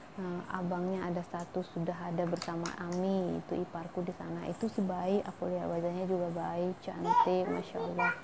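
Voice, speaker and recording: Speaking at a moderate pace over noticeable background noise, a woman uses a fairly low pitch and a monotone, flat intonation. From Indonesia, Medan (Malay ethnicity). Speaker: vlogger. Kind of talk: casual vlog talk to viewers.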